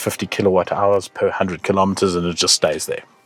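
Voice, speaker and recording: A man's fairly low-pitched voice at a fairly quick pace, over noticeable background noise. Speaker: motoring show host. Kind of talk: car review. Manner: fast; animated.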